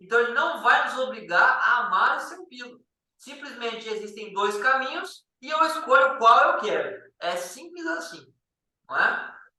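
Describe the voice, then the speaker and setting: A man with an extremely high pitch uses a raised, projected voice at a fairly slow pace, with lively intonation and big swings in loudness. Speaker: Bible study teacher. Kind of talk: Bible study lesson.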